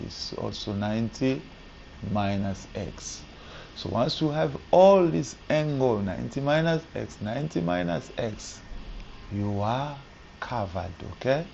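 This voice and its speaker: Soft-spoken and at a fairly slow pace, a man with a fairly low pitch makes very wide pitch swings amid audible room echo. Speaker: maths teacher. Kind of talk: tutorial. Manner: halting.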